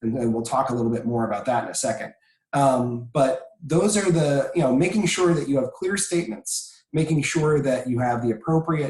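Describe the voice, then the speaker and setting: With ordinary pitch variation, a man delivers his words in a somewhat breathy voice. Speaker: presenter on copyright and licensing. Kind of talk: webinar presentation. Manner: frequent filler words.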